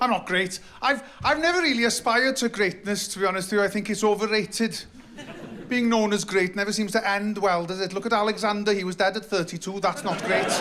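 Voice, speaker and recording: With a Welsh accent and a high pitch, a man talks very fast over noticeable background noise. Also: ordinary pitch variation. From Wales. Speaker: comedian. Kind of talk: stand-up. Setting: stage with audience.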